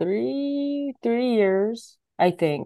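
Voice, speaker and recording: A woman speaks with an American accent and a lively intonation. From Sacramento, California. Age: 30s. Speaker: comedian. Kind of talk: casual chat.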